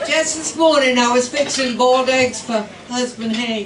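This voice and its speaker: A woman's voice at a moderate pace with ordinary pitch variation, amid noticeable background noise and audible room echo. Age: 80s+. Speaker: stand-up comedian. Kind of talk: stand-up. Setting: stage with audience.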